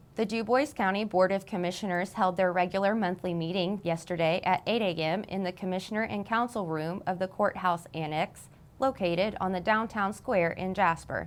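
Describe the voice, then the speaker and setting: Hardly pausing, a woman with an unremarkable speaking voice talks at a moderate pace and medium pitch with fairly even intonation. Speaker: local TV news anchor. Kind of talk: local television newscast read.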